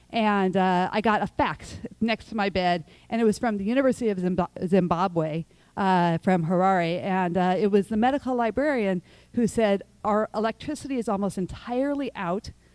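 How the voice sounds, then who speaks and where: This plain, everyday voice moves at a moderate pace with ordinary pitch variation, captured as a very clean recording with a silent background and a dry, close sound with no echo. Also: woman, medium pitch for a woman. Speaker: nonprofit founder and panel speaker. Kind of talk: prepared talk at public forum.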